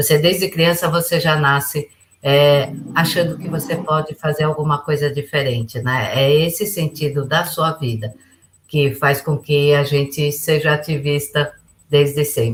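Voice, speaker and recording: A woman with a very deep, low pitch talks at a fairly slow pace with fairly even intonation. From Brazil. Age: 60s. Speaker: businesswoman and international relations advisor. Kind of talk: podcast interview.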